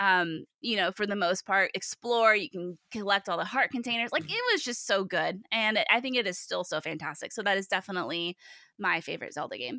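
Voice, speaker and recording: Animated and lively in intonation, a woman speaks at medium pitch with a bright, sharp tone. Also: fairly quick pace, hardly any pauses. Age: 30s. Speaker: games podcaster guest. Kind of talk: casual interview chat. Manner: animated, jokey.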